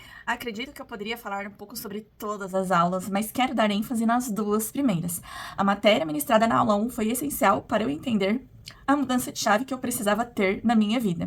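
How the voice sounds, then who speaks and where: A woman with a fairly high, somewhat breathy voice speaks at a fairly quick pace, with ordinary pitch variation and big swings in loudness. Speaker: postgraduate student. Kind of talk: video presentation of a course assignment. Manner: partly read from a script.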